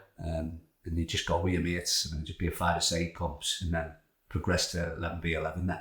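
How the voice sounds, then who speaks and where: A man with a North East England accent talks at a very fast pace. His pitch is very deep and low, and his intonation stays monotone and flat. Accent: North East English (Geordie). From North East England (Tyneside). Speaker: football youth coach. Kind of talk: podcast interview.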